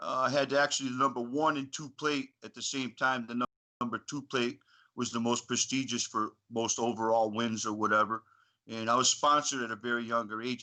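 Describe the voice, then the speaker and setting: A man speaks at medium pitch with an American accent, in a bright, sharp tone and flat, monotone intonation. His pace is fairly quick against a quiet background. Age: 50s. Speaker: retired motocross racer. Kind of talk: casual chat.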